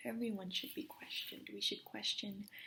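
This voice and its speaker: A soft-spoken woman talks in a calm tone at a fairly high pitch. Her voice is somewhat breathy. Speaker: meditation guide. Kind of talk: guided meditation. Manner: soft, calm.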